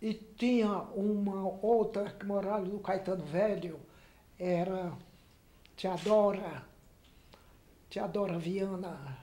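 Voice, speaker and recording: The speaker moves at a very slow pace, leaving long, frequent pauses. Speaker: elderly local resident. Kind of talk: oral history testimony.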